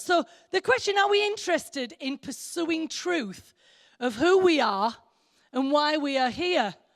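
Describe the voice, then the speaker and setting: Delivered at a moderate pace, the voice carries an English accent. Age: 60s. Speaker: preacher. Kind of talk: sermon. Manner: conversational, with fillers and repetitions.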